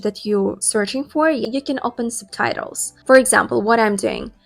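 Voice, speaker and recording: With music in the background, a woman at a fairly high pitch speaks at a moderate pace with ordinary pitch variation. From Russia. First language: Russian. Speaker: English learning youtuber. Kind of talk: tutorial.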